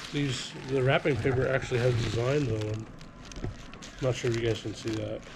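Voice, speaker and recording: A man with a medium-pitched voice talks at a fairly quick pace with fairly even intonation and long, frequent pauses, over noticeable background noise and audible room echo. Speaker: family vlogger. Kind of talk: casual haul vlog.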